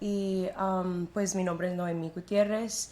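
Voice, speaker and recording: At a fairly slow pace, a woman of medium pitch speaks in a normal speaking voice. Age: 20s. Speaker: church worship singer. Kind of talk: testimony interview.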